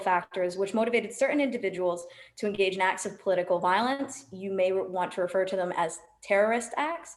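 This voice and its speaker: In an American accent, a woman with a medium pitch talks at a fairly quick pace amid audible room echo. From USA and Germany. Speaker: sociologist and tour guide. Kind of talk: lecture. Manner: loud; many filler ums.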